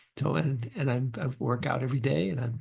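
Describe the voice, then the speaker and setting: A man speaks at a moderate pace with a medium pitch. His voice has vocal fry. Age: 60s. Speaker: career transition coach. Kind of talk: casual interview conversation.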